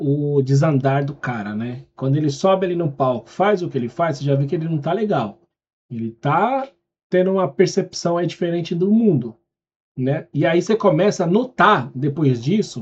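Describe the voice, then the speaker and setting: A man with a fairly high pitch speaks at a moderate pace, his intonation lively. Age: 40s. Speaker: reaction youtuber. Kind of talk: casual reaction commentary. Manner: animated.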